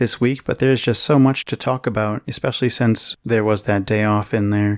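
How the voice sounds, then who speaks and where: A soft-spoken man with an American accent talks at a fairly quick pace with ordinary pitch variation, on a very clean recording with a silent background. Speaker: news podcast host. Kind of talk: news podcast monologue.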